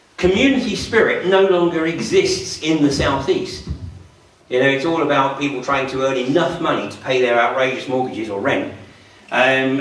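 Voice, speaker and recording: With noticeable background noise and audible room echo, a man with a fairly high voice speaks at a moderate pace. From southern England, Surrey. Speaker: public speaker, activist. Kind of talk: public talk.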